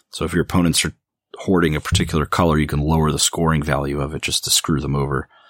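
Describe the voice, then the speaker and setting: A man's very deep, low voice with vocal fry, monotone and flat, at a very fast pace, dry and close with no echo. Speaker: board game podcast co-host. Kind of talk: casual chat.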